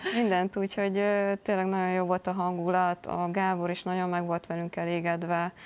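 A woman with monotone, flat intonation at a fairly quick pace. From Hungary. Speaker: handball player. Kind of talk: interview. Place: studio. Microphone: lapel.

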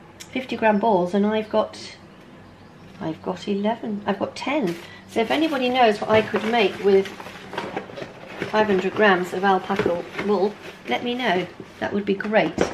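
A woman at a moderate pace with ordinary pitch variation, long, frequent pauses and noticeable background noise. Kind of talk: casual vlog chat. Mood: nostalgic, amused. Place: home room.

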